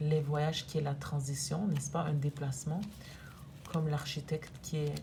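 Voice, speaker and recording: A woman speaks over noticeable background noise. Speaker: energy therapist. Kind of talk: oracle card reading to camera.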